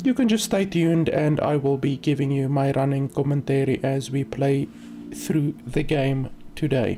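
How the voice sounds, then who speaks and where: A woman's very deep, low pitch at a moderate pace, with very even loudness, ordinary pitch variation, and noticeable background noise. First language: not English. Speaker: game streamer and reviewer. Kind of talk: livestream gameplay commentary. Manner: casual, many filler words.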